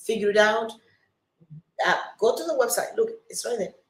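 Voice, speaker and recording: With a Cuban accent, a woman speaks at a fairly high pitch with ordinary pitch variation. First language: Spanish. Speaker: city council candidate. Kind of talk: live campaign video update. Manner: halting, many fillers and restarts; earnest, emphatic.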